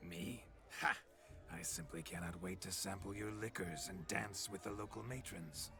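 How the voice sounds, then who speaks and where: Against clear background noise, a man uses a put-on character voice with very deep, low pitch at a moderate pace. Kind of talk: old-fashioned courtly banter. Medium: video game. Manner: boisterous, theatrical, archaic phrasing.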